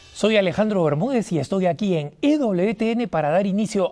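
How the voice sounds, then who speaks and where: This man's voice is high-pitched, with lively intonation. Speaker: TV host. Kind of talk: TV talk show monologue. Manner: animated.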